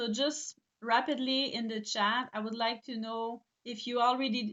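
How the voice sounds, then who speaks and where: A woman with a Quebec accent speaks at a fairly slow pace in a high voice. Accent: Québécois French accent in English. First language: French. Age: 40s. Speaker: eyelash extension trainer and business owner. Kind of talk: live webinar presentation. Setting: online live stream. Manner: halting, many fillers.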